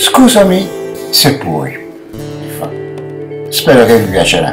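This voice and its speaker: Noticeable background noise surrounds the recording. A man speaks at a very slow pace. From Naples, Italy. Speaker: amateur actor. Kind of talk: poetry reading. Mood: tender, emotional. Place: home room. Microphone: webcam.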